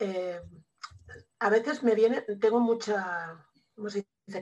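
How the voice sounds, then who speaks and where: Her pitch is medium and varies in an ordinary way as this woman talks. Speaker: student and case patient. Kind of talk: casual consultation.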